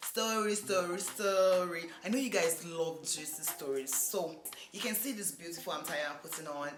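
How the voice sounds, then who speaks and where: Over music in the background, a woman speaks at a moderate pace with a fairly low pitch and ordinary pitch variation. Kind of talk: casual talk to camera.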